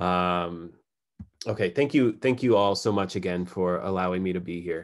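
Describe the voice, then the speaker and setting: Recorded very cleanly against a silent background, the speaker has an American accent, ordinary pitch variation and a moderate pace. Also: man, very deep, low pitch for a man. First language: Farsi. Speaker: poet. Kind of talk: poetry reading. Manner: halting, many fillers.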